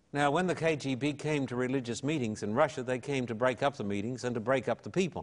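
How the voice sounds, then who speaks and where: A man's medium-pitched voice at a very fast pace, with hardly any pauses and ordinary pitch variation. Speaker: evangelist and pastor. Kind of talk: television interview, personal storytelling.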